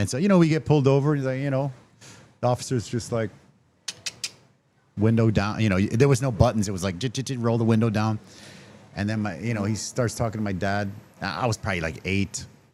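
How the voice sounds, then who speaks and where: Animated in tone, a man talks at a very fast pace with ordinary pitch variation and long, frequent pauses. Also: medium pitch for a man. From Canada. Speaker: podcast host. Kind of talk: casual chat.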